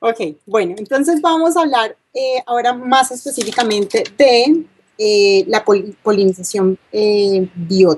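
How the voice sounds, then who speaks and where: With a Colombian accent, a woman speaks at a fairly high pitch and a fairly slow pace, her intonation lively. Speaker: university lecturer, bee geneticist. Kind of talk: lecture. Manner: hesitant, many fillers.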